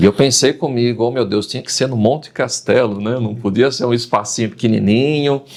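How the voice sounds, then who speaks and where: Here a man speaks with a medium pitch at a fairly quick pace. He has an ordinary speaking voice. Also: hardly any pauses. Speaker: announcer and wedding celebrant. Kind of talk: podcast interview answer. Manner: lively, storytelling.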